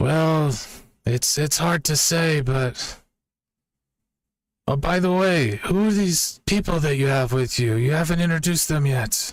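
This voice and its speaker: A man puts on a character voice with a fairly high pitch, talking at a fairly slow pace with long, frequent pauses. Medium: actual play.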